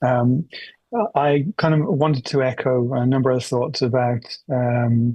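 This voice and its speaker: Flat and monotone, a man speaks at a medium pitch in a dry, close recording with no echo. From United Kingdom. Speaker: forum participant. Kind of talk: open-mic comment at conference. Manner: hesitant, many fillers.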